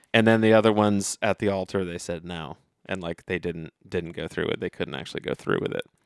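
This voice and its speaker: In a Midwestern American accent, the speaker moves at a fairly quick pace with ordinary pitch variation, in a very clean recording with a silent background and a dry, close sound with no echo. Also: man, very deep, low pitch for a man. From US Midwest, Dayton, Ohio. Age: 30s. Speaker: podcast co-host. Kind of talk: casual chat. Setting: studio.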